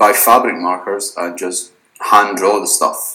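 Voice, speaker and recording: A man speaks with a fairly low pitch. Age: 20s. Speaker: t-shirt designer. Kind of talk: casual interview.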